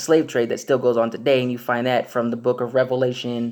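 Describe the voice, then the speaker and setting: The man's pitch sits at a medium level. He talks at a fairly quick pace. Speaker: religious video blogger. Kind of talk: religious monologue. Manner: fast; hesitant, many fillers.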